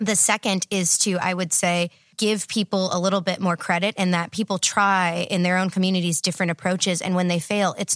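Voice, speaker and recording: A woman with an American accent speaks at a fairly quick pace and medium pitch. The recording is very clean with a silent background and a dry, close sound with no echo. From Texas. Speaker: PhD candidate in political science. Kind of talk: casual interview. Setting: studio.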